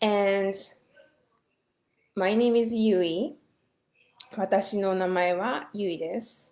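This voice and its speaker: A woman's very slow, medium-pitched speech with a Japanese accent, fairly even intonation, long, frequent pauses and audible room echo. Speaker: language teacher. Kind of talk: online class lecture. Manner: hesitant, many fillers.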